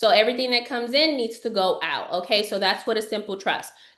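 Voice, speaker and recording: A woman talks at a fairly high pitch with lively intonation. Audible room echo surrounds her voice. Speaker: financial educator. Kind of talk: webinar lecture. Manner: fast.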